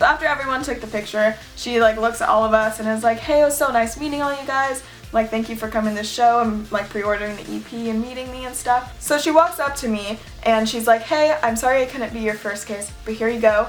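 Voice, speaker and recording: Over music in the background, a woman with a General American accent talks at a very fast pace and fairly high pitch, with ordinary pitch variation and hardly any pauses. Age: young. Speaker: YouTuber. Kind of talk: casual storytime talk to camera.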